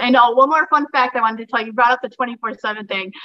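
Noticeable background noise under a fairly quick, fairly high-pitched female voice. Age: 30s. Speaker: professional wrestler. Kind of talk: casual chat. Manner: animated.

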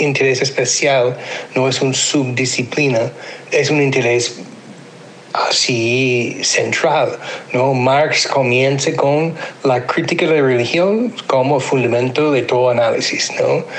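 The delivery is very slow, with very even loudness and fairly even intonation. Noticeable background noise and audible room echo fill the recording. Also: man, medium pitch for a man. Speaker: sociology professor. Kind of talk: interview. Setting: remote, recorded voice notes. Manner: hesitant, many fillers.

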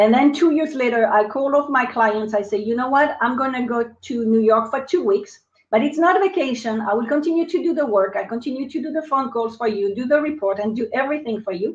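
A woman's high voice, fairly quick and with lively intonation, hardly any pauses. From France. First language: French. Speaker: business coach and marketing expert. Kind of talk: interview. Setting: live online video broadcast.

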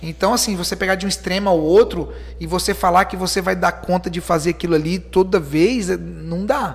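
A man keeps a moderate pace and barely pauses at all. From Espírito Santo, Brazil. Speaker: city councillor, entrepreneur and motivational speaker. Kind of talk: casual interview.

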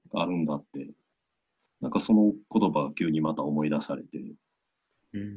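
A man talks at a moderate pace with long, frequent pauses. His very deep, low voice shows ordinary pitch variation. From Osaka, Japan. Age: 30s. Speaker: Buddhist priest. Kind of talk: interview.

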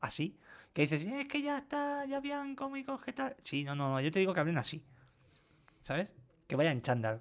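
A man talks at a moderate pace in a high pitch, his voice making very wide pitch swings, with long, frequent pauses. The recording is very clean with a silent background. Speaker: podcast co-host. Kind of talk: casual chat.

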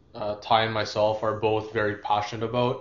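A man talks at a fairly quick pace with a fairly low pitch. His intonation is monotone and flat. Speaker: podcast co-host. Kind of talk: casual chat.

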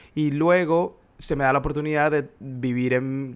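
A man with a fairly high pitch uses an ordinary speaking voice, keeping his intonation fairly even. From Venezuela, Maracaibo. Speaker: graphic designer. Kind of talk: interview.

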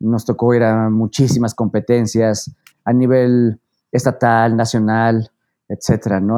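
A man with a central Mexican accent and a dark, mellow tone, at a fairly slow pace, in a dry, close, echo-free recording that is very clean, with a silent background. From Mexico, Puebla. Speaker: mountaineer and renewable energy consultant. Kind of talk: interview.

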